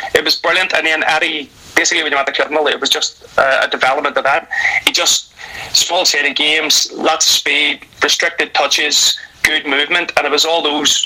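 A fairly high-pitched man with a Northern Irish accent, fairly quick and monotone, at a very even loudness amid noticeable background noise. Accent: Northern Irish (Belfast). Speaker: retired footballer and football coach. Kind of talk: casual interview.

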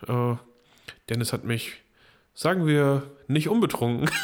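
A man talks in a medium pitch at a moderate pace, his pitch varying in an ordinary way. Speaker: podcast co-host. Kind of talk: casual chat. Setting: same room.

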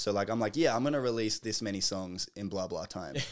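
In an Australian accent, a man speaks at a fairly low pitch with ordinary pitch variation on a very clean recording with a silent background. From Australia, Melbourne. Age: 20s. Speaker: college athlete and musician. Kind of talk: casual chat.

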